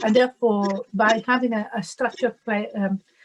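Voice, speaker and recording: With a strong Italian accent, a woman speaks at a moderate pace in a fairly high, somewhat breathy voice with ordinary pitch variation, captured in a dry, close sound with no echo. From Italy. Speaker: diversity and inclusion manager. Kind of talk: webinar panel talk. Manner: halting.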